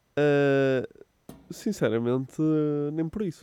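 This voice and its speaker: Speaking very slowly with a European Portuguese accent, a man has a dark, mellow tone and ordinary pitch variation. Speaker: podcast co-host. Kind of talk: casual chat.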